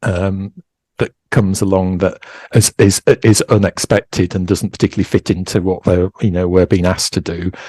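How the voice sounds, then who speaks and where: In a Yorkshire accent, a man speaks at a moderate pace with a very deep, low pitch, a dark, mellow tone and monotone, flat intonation, the sound dry and close with no echo. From East Yorkshire, England. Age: 60s. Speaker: knitwear designer. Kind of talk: interview. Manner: halting, many fillers and restarts.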